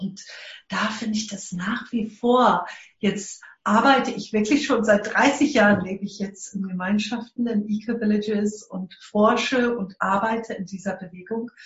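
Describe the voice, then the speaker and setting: With a plain, everyday voice, a woman speaks fairly high in pitch, at a fairly slow pace and with fairly even intonation. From South Africa. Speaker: eco-village network leader. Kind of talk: interview. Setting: remote connection.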